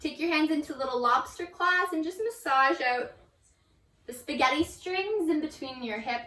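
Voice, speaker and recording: A woman speaks in a raised, projected voice with a high pitch. Her intonation is lively and her pace moderate. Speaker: yoga instructor. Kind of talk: guided yoga class. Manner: casual.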